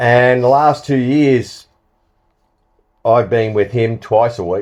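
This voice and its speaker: A man speaks at a very slow pace with an Australian accent. His intonation stays fairly even. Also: medium pitch for a man. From Australia, Sunshine Coast Queensland. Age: 60s. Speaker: former pro surfer. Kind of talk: casual chat.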